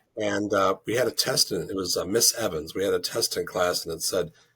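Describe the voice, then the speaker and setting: A man talks at a fairly quick pace with a Chicago accent. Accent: Midwestern, Chicago. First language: French. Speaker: druid leader. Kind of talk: interview.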